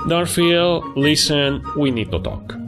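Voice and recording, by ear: Over clear background music, a man does a cartoonish character voice, fairly high-pitched, with big pitch swings and a slow pace.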